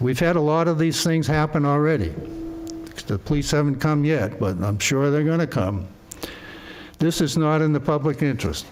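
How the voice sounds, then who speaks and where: A man's fairly high voice at a moderate pace, with ordinary pitch variation, very even loudness and long, frequent pauses over noticeable background noise. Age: 80s+. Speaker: resident speaking at public hearing. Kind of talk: public testimony at zoning hearing. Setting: town board meeting room. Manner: halting with repetitions.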